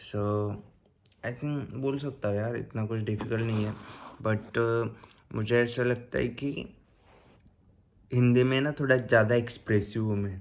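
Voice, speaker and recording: With a Marathi accent, a man of medium pitch keeps a fairly even intonation and leaves long, frequent pauses. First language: Marathi (speaking Hindi). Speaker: YouTuber giving advice on vocational training in Germany. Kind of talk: casual vlog tutorial. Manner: casual, hesitant with fillers.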